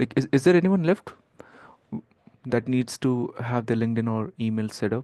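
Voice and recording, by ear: The delivery moves at a moderate pace, with a dark, mellow tone and ordinary pitch variation. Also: man.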